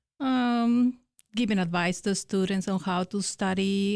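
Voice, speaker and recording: A woman with a Spanish accent speaks at medium pitch with fairly even intonation on a very clean recording with a silent background. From Mexico. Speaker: academic success coach. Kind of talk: interview. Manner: hesitant, many fillers.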